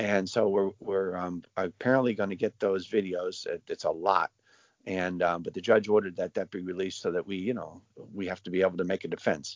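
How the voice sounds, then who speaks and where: An unremarkable speaking voice, fairly low in pitch, belongs to a man talking at a moderate pace. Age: 60s. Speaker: father of a jailed defendant. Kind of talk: interview.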